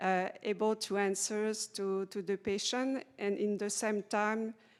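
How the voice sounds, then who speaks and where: A woman speaks with a non-native accent at medium pitch and a very slow pace. Her intonation is monotone and flat, on a very clean recording with a silent background. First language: French. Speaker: patient navigation specialist. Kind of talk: panel discussion. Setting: conference panel. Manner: halting.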